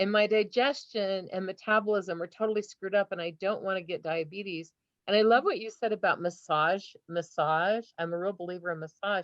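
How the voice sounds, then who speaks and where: Here a woman talks at a medium pitch. Her pace is fairly quick. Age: 60s. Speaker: audience member with chronic illness. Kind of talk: live Q&A question. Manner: animated.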